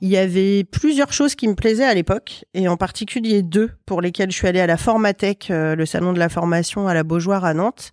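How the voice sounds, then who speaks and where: An ordinary speaking voice, with ordinary pitch variation and very even loudness, moves at a fairly quick pace with hardly any pauses, in a dry, close sound with no echo on a very clean recording with a silent background. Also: woman, medium pitch for a woman. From western France (Loire-Atlantique). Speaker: chartered accountant and business owner. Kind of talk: casual interview.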